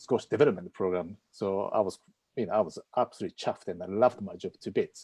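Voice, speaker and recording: Speaking at a very fast pace with a strong Japanese accent, a man uses a fairly low pitch and a dark, mellow tone in a dry, close sound with no echo. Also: ordinary pitch variation. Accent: heavy Japanese. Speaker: property investor, former squash coach. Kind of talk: live-streamed interview. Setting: video call streamed live. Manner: halting.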